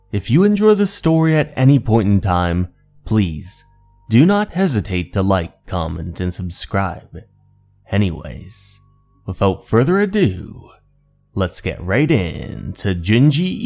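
A man talks at a slow pace with a low pitch, big pitch swings and vocal fry. His tone is slightly mellow, and faint music plays in the background.

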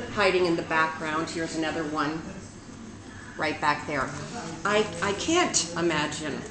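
A woman talks at moderate speed, with noticeable noise in the background. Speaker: presenter. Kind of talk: casual educational vlog. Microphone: webcam.

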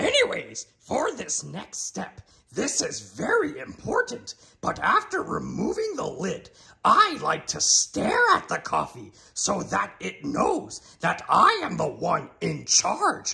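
A man's put-on character voice, playful in tone and delivered at a fairly slow pace. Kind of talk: comedy cooking show parody. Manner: inverted word order, playful, comedic.

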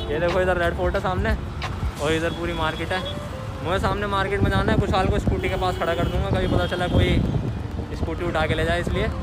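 Over music in the background, a man talks at a moderate pace. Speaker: vlogger. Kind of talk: casual vlog chat. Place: street. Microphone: phone near.

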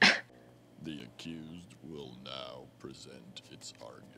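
Over loud background noise, a man talks at a fairly slow pace in a cartoonish character voice with a very deep, low pitch. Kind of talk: formal announcement in animated show. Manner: formal.

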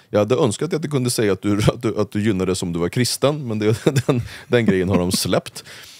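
A man's fairly low voice at a very fast pace, dry and close with no echo, over noticeable background noise. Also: ordinary pitch variation. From Sweden, Uppsala (Gottsunda). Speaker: political commentator. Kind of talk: casual interview.

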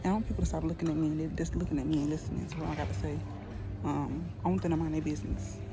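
Clear music plays behind a woman whose voice sounds dry, with no echo. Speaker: vlogger. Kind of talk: casual vlog chat. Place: street. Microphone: phone near.

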